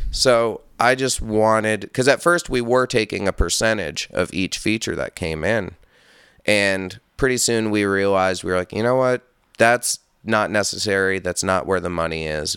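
In a normal speaking voice, a man with an American accent talks at a moderate pace with ordinary pitch variation, in a dry, close sound with no echo and a very clean recording with a silent background. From upstate New York. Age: 30s. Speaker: metal musician. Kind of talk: casual chat.

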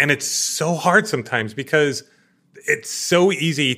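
An energetic man talks at a fairly high pitch with a bright, sharp tone and vocal fry. The recording is very clean, with a silent background. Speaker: podcast host and entrepreneur. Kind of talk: interview conversation. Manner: loud.

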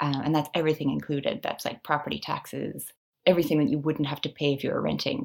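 A woman with a Canadian accent speaks at a very fast pace. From Canada. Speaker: personal finance blogger. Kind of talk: interview.

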